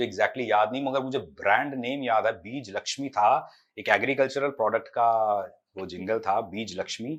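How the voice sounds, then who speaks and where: A man's plain, everyday voice at a medium pitch, with ordinary pitch variation, a moderate pace, and a quiet background. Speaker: voice actor. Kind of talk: interview answer.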